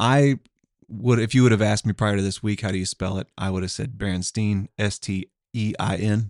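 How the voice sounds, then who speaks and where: A man with an Oklahoma accent talks at a fairly quick pace, his pitch fairly low and his intonation fairly even. The sound is dry and close with no echo, and the recording is very clean against a silent background. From Tulsa, Oklahoma. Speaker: podcast co-host. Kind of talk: casual chat.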